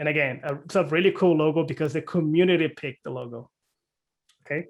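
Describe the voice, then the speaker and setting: A man speaks with a non-native accent, his pitch fairly high and its variation ordinary. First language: not English. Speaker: cloud community presenter. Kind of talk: presentation. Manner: hesitant, many fillers.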